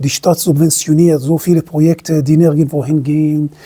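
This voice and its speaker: This woman's voice is very deep and low, with a dark, mellow tone. She keeps a moderate pace and a monotone, flat intonation. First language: not German (speaking German). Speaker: self-employed entrepreneur, commentator. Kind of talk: opinion monologue to camera. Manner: halting, self-correcting.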